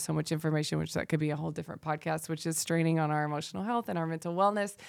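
The speaker, with an American accent, talks at a very fast pace with hardly any pauses. Pitch variation is ordinary, and the recording is very clean with a silent background. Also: woman. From US South. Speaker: dance teacher and wellness instructor. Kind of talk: casual chat.

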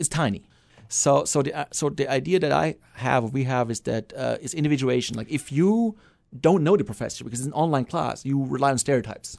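With a German accent, a man speaks at a fairly quick pace in a fairly high pitch, his intonation lively and the background quiet. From Germany. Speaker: psychology professor. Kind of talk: casual interview. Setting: studio.

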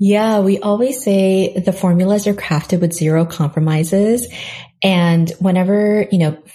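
In an American accent, a woman speaks at a moderate pace and medium pitch, with a dark, mellow tone, a somewhat breathy quality, fairly even intonation and very even loudness. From South Korea and New York. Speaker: skincare entrepreneur. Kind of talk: interview.

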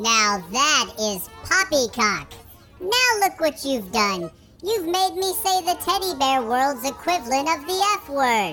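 The speaker uses a put-on character voice at a fairly slow pace. Music plays in the background. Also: female-sounding voice. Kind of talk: comic overacting. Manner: bombastic, proclamatory, indignant.

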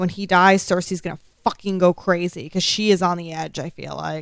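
Monotone, flat intonation and big swings in loudness mark this fairly quick speech, in a very clean recording with a silent background. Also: woman. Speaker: podcast co-host. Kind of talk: casual chat. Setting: live-streamed recording with chat room. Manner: sometimes quiet, off mic.

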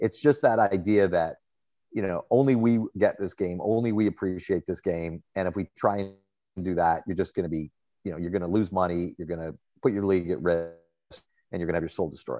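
A man with a Canadian accent speaks at a fairly quick pace in a very deep, low voice with a dark, mellow tone and ordinary pitch variation, recorded dry and close with no echo against a quiet background. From Toronto, Canada. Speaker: sports journalist. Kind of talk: interview.

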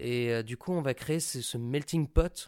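Recorded very clean with a silent background, the sound is dry and close with no echo, and the pitch varies an ordinary amount. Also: man. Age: 20s. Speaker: actor. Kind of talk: recorded interview. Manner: casual and animated.

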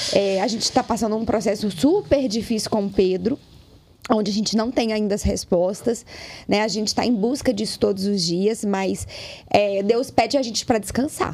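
A fairly high-pitched woman talks at a moderate pace with ordinary pitch variation, noticeable background noise behind her. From Brazil, Minas Gerais (Lagoa Santa). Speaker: digital influencer. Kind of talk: casual chat.

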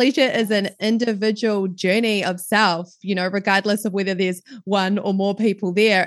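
A woman with a New Zealand accent, medium pitch, moderate pace, quiet background. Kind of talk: casual interview chat. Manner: warm, laughs often.

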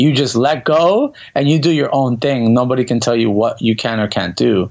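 A man with an American accent, ordinary pitch variation, and noticeable background noise behind him. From Miami, Florida. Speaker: bachata dance instructor. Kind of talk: casual interview.

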